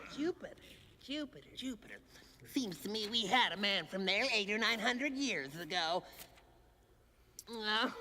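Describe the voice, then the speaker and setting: A female-sounding cartoonish character voice with a fairly high pitch talks at a moderate pace. Long, frequent pauses break up the speech. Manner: brisk, officious.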